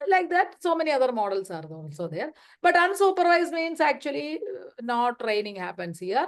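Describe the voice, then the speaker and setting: Her voice is high for a woman, with very wide pitch swings. Her loudness also swings a lot. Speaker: data scientist and lecturer. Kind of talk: lecture. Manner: fast; halting.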